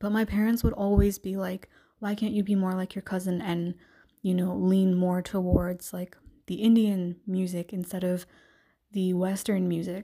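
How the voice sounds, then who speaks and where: A woman's medium-pitched, dark, mellow voice with a Canadian accent, monotone, flat intonation and a moderate pace, on a very clean recording with a silent background. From Canada, Greater Toronto Area. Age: 20s. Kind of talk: solo podcast monologue. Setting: home recording. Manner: casual, frequent fillers.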